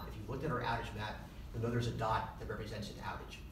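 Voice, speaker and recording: Very fast speech with audible room echo and noticeable background noise. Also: man. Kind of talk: public briefing statement. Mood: explanatory, somewhat defensive. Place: meeting room.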